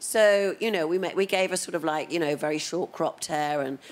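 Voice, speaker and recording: With a British accent, a woman speaks at a fairly quick pace. Her pitch is very deep and low, with ordinary variation. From Britain. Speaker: makeup artist. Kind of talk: casual chat. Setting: studio.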